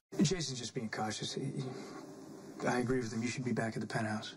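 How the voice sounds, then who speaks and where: Amid clear background noise, a man puts on a raspy character voice at a medium pitch and rattles along at a very fast pace. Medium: short film. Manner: earnest.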